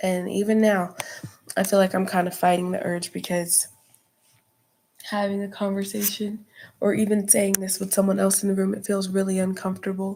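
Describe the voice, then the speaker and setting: A woman speaks at a medium pitch with a dark, mellow tone and monotone, flat intonation. Her pace is moderate, broken by long, frequent pauses. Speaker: vlogger. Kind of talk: personal vlog monologue. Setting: dark room.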